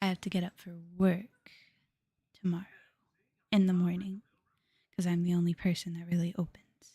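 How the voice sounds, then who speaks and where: A woman speaks at a moderate pace with a dark, mellow tone and fairly low pitch. Her voice is somewhat breathy, and the sound is dry and close with no echo. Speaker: vtuber streamer. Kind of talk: casual live stream chat. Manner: halting, many fillers.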